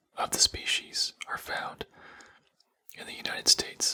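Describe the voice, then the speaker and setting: The voice is whispering. It carries an American accent. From Texas, USA. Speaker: ASMR artist. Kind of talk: educational ASMR show and tell. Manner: soft-spoken.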